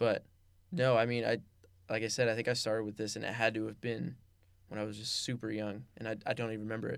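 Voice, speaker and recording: In a very clean recording with a silent background, a man with a Californian accent talks very fast in a flat monotone at a medium pitch. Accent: Californian American English. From Los Angeles, San Fernando Valley. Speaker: podcast host, college student athlete. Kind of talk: casual chat.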